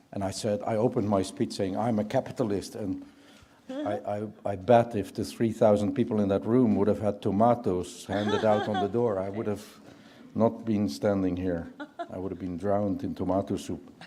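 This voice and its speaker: A man with a Dutch accent, fairly low in pitch, dark and mellow in tone, fairly even in intonation, at a moderate pace. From Netherlands. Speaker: business leader, keynote speaker. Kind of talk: keynote speech.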